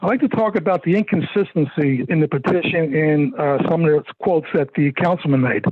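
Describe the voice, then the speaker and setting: Amid noticeable background noise, a man with an American accent speaks at a fairly high pitch, with very even loudness and ordinary pitch variation. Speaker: property owner speaking at public hearing. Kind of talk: public comment at council meeting. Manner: fast; halting.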